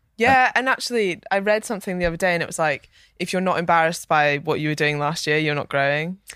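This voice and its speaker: The speech runs at a very fast pace with lively intonation, on a very clean recording with a silent background. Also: woman, fairly low pitch for a woman. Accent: Scottish. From Scotland. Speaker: fitness coach. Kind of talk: casual chat.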